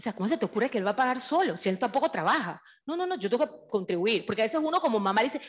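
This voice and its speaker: Behind a woman's voice the background is quiet. Her pitch swings very widely. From Panama. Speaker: civil registry official, audience member; audience member commenting. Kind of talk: audience comment. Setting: event hall with audience. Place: classroom. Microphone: handheld.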